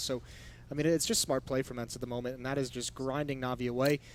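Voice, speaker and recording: Noticeable background noise behind very fast talking. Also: man. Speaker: esports caster. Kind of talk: live commentary. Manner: briefly stuttering.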